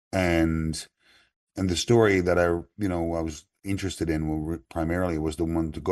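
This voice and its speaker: At a moderate pace, a man with a Newfoundland accent speaks in a very deep, low pitch with monotone, flat intonation against a quiet background. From Newfoundland, Canada. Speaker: author and musician. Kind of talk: interview answer.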